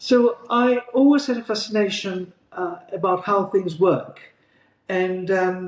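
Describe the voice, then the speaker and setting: A man speaks very slowly with a Greek accent, his voice high in pitch. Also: ordinary pitch variation. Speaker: GP partner. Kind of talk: interview.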